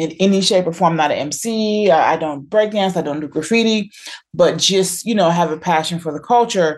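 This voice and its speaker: Against a quiet background, a woman with an American accent speaks in a plain, everyday voice at a moderate pace, fairly low in pitch with ordinary pitch variation. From US. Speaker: professor. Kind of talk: interview.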